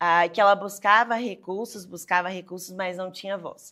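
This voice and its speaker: In a very clean recording with a silent background, a woman talks at a fairly slow pace in an unremarkable speaking voice, medium in pitch, with fairly even intonation. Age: 20s. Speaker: lawyer. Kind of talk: interview. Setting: studio.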